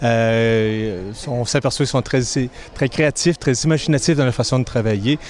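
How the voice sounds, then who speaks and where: A man's medium-pitched voice at a fairly slow pace, with fairly even intonation. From Quebec, Granby. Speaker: humanitarian volunteer. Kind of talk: interview. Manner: hesitant, repeating words.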